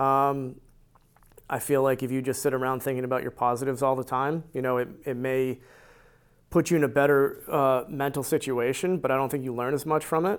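A man with a normal speaking voice and an American accent, medium pitch, fairly even intonation and a fairly quick pace, on a very clean recording with a silent background. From US Northeast, central Connecticut. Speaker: amateur golfer. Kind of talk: casual interview.

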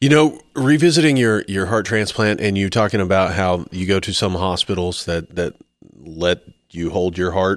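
A man's very deep, low voice with lively intonation, at a moderate pace. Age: 40s. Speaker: podcast co-host. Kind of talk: casual chat.

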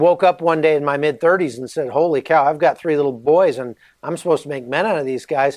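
At a fairly quick pace, a man uses an ordinary speaking voice, fairly high in pitch, with ordinary pitch variation. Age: 40s. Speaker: author and journalist, former soldier. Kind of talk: interview.

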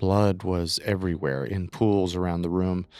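Speaking at a fairly slow pace, a man uses a low pitch and a clear, smooth tone. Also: very clean recording, silent background.

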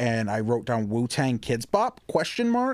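Using a plain, everyday voice, a man with an American accent and medium pitch speaks at a fairly slow pace. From suburban Detroit, Michigan. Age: 20s. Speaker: stand-up comedian. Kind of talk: casual chat.

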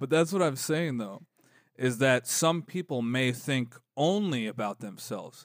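Recorded very cleanly with a silent background, a man with an American accent speaks fairly slowly at medium pitch with lively intonation. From Los Angeles. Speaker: podcast host. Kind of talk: casual chat.

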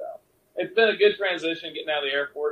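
A man speaks in a Mississippi accent. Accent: US Southern (Mississippi). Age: 30s. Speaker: cowboy musician and poet. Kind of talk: casual chat.

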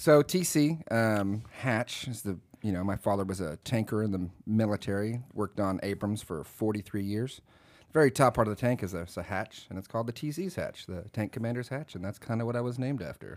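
A man with a Texan accent at a fairly low pitch and a fairly quick pace, lively intonation, very clean recording with a silent background. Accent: Texan, milder than expected. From Texas. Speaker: tattoo artist. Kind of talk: casual chat.

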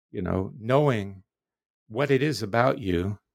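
An ordinary speaking voice from a man with an American accent, fairly low pitch, lively intonation and a fairly slow pace, on a very clean recording with a silent background. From US South, Florida. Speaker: philosophy professor. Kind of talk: interview.

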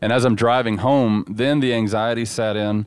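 A medium-pitched man with a Southern US accent at a moderate pace, on a very clean recording with a silent background. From Dallas, Texas. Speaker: former bank robber. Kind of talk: interview.

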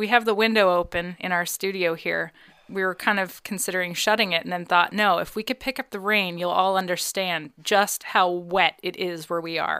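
In a very clean recording with a silent background, a woman with a bright, sharp tone and medium pitch speaks at a moderate pace with fairly even intonation and hardly any pauses. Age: 30s. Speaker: podcast co-host. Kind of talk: casual chat. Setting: studio.

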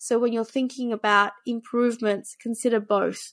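A woman speaks with a fairly high pitch and an Australian accent. Her intonation is monotone and flat, and the recording is very clean with a silent background. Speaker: tech startup founder and CEO. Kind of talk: interview.

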